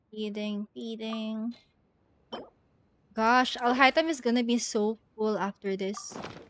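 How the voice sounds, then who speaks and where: A woman with a non-native accent and a fairly high pitch speaks at a very slow pace with long, frequent pauses and fairly even intonation, in a dry, close sound with no echo. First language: not English. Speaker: streamer. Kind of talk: casual gameplay commentary. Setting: live stream.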